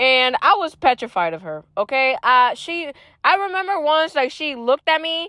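A woman's raised, projected voice, high in pitch, bright and sharp in tone, animated, with lively intonation at a moderate pace, dry and close with no echo, on a very clean recording with a silent background. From Puerto Rico. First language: Spanish. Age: young (19). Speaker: university student podcaster. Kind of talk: casual personal monologue. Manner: code-switches into Spanish.

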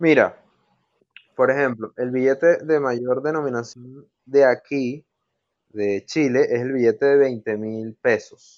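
Fairly even intonation marks a man's speech at a very slow pace. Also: medium pitch for a man. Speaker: podcast co-host. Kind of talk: casual chat.

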